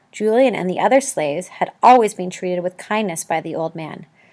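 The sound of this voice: Lively intonation over an unforced reading voice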